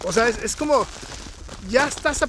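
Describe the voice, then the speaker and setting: A man's pitch varies in an ordinary way as he speaks fairly quickly, with noticeable noise behind him. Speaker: podcast host. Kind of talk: casual interview. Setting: outdoors, walking in snow. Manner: loud.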